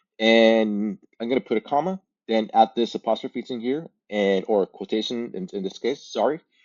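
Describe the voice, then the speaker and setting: A man speaks with a Spanish accent at a medium pitch. His pace is moderate and his pitch varies in an ordinary way. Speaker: language learning content creator. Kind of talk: tutorial. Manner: halting, many fillers and repeats.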